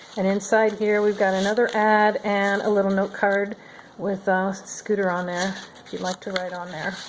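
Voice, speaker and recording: Noticeable background noise sits behind the voice. The intonation is monotone and flat. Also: woman, medium pitch for a woman, moderate pace. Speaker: crafter showing handmade journals. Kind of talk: product flip-through tutorial. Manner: casual, with frequent fillers.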